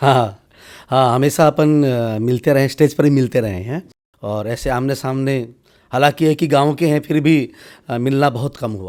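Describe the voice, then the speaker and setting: With an ordinary speaking voice, a man talks at a medium pitch and shows ordinary pitch variation. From Haryana, India. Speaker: spiritual leader. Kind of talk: interview.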